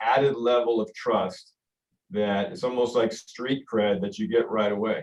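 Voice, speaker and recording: This man has a Spanish accent and a medium pitch. He talks at a moderate pace. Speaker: mortgage company managing director. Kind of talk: business presentation.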